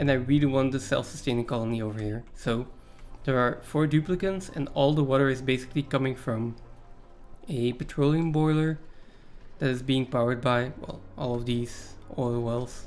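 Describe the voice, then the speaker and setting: Male voice in a non-native accent, medium in pitch with ordinary pitch variation, at a moderate pace over music in the background. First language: not English. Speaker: video game streamer. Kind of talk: live gameplay commentary. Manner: casual, hesitant with fillers.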